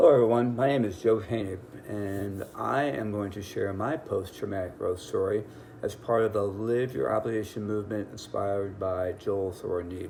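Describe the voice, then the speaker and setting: A man at a fairly low pitch, with audible room echo and noticeable background noise. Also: ordinary pitch variation, moderate pace. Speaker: business executive, cancer survivor. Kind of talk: testimony.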